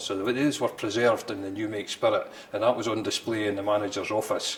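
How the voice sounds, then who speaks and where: Noticeable background noise is present. The speech runs at a fairly quick pace with monotone, flat intonation. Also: man. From Scotland, near Stirling. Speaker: distillery manager. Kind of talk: interview. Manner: halting.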